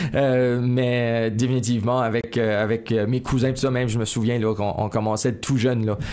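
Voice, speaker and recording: A man talks at a medium pitch in a monotone, flat intonation with very even loudness. His pace is moderate with hardly any pauses, over noticeable background noise. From Acadian New Brunswick, Néguac region. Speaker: singer-songwriter. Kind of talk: interview. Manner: hesitant, many repetitions.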